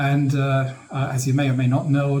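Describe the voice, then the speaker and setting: A man with a German accent, somewhat breathy and fairly high in pitch, at a moderate pace amid audible room echo. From northern Germany, near Hanover. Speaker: gaming and history YouTuber. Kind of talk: Q&A monologue. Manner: halting, many fillers.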